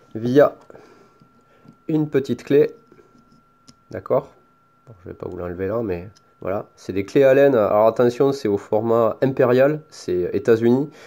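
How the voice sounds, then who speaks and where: A man with a Toulouse accent speaks at a very slow pace but with lively intonation. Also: long, frequent pauses, big swings in loudness. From France. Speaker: product reviewer, hobbyist YouTuber. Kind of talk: tutorial. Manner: casual, hesitant with fillers.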